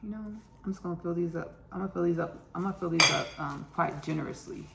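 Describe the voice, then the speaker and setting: A woman with an American accent, fairly low in pitch, at a very fast pace with fairly even intonation, over noticeable background noise. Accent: Texas country, varies. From Texas, Austin. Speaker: home cook, cooking show host. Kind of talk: casual cooking tutorial. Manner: chatty, repetitive.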